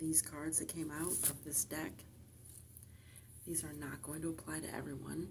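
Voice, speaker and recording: Soft-spoken, a woman talks with long, frequent pauses. Audible room echo fills the recording. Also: moderate pace. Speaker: tarot reader. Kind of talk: tarot reading. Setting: library.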